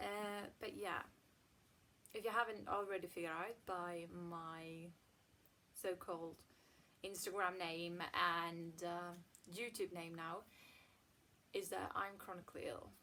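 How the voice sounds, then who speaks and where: With a slight Swedish accent, a bright, sharp tone comes through at a fairly slow pace with fairly even intonation and long, frequent pauses. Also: woman, fairly low pitch for a woman. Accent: near-native English, slight Swedish. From Sweden. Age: 20s. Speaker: chronic illness vlogger. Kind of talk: casual vlog monologue.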